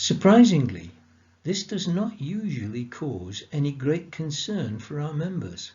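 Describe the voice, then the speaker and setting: Somewhat breathy, a man speaks at a fairly slow pace. His fairly high pitch moves in very wide swings. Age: 70s. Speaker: support group chair. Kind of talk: prepared talk. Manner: formal.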